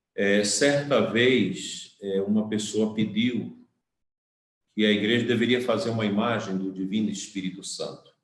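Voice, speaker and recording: Fairly even intonation from a man with a fairly low pitch at a fairly slow pace, in audible room echo. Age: 60s. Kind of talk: sermon.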